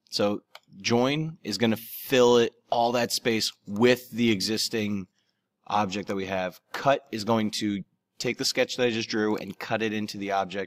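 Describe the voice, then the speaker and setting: A man with an unremarkable speaking voice, fairly low pitch and fairly even intonation at a fairly slow pace, in a very clean recording with a silent background and a dry, close sound with no echo. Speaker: teacher. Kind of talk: tutorial.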